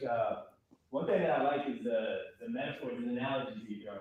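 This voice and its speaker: A man at a fairly quick pace amid audible room echo. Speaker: band director giving feedback. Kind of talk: rehearsal feedback. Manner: halting, many fillers.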